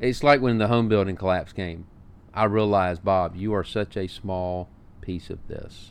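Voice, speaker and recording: A man with a fairly low pitch and ordinary pitch variation keeps to a moderate pace. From Alabama. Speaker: restaurant owner and podcast host. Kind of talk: casual chat.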